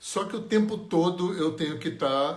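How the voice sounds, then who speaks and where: Audible room echo surrounds a man whose somewhat breathy voice has lively intonation. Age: 60s. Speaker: energy healing teacher. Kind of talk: live stream talk. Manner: conversational.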